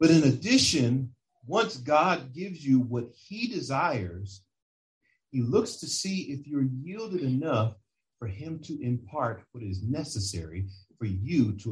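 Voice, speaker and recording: A man speaks at a fairly slow pace, his pitch medium and swinging very widely. His voice is somewhat breathy, with big swings in loudness. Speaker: preacher. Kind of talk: sermon. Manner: animated, full-flow preaching with building emphasis.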